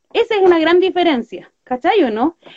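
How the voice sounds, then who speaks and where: A woman in a Chilean accent at a moderate pace. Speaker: political podcast host. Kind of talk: casual political chat.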